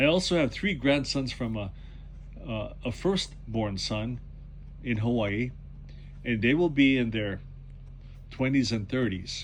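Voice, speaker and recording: The delivery is very slow, with lively intonation. Audible room echo surrounds the voice. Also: man. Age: 70s. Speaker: retired book reseller and YouTuber. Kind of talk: casual vlog monologue. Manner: halting, repeats words.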